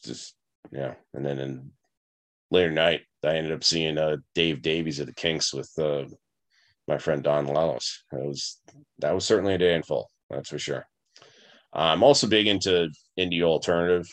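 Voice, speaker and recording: A man with an American accent and a very deep, low voice shows vocal fry, speaking at a moderate pace with ordinary pitch variation and long, frequent pauses. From Long Island, New York. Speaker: podcast host. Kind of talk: casual personal storytelling monologue. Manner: hesitant, many fillers.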